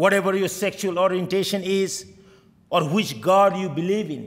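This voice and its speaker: The speaker has a Bengali accent and a moderate pace against a quiet background. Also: man. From Bangladesh. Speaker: state senator. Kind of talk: oath and speech. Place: hall. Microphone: podium.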